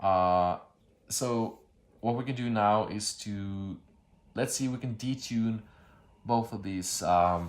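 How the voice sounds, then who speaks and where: A man with a non-native accent, fairly low pitch and fairly even intonation, very slow with long, frequent pauses. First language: not English. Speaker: synth tutorial YouTuber. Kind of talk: tutorial. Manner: halting, many fillers and restarts; casual.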